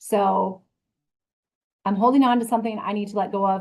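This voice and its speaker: A woman talks at a fairly quick pace and a fairly high pitch. Her voice is somewhat breathy, with ordinary pitch variation. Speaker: special educator and regional administrator. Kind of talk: conference presentation. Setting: conference breakout session. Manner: fast.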